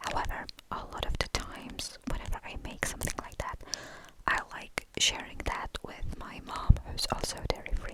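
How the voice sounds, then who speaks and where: Whispering over noticeable background noise. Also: moderate pace. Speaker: ASMR creator. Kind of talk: ASMR rambling.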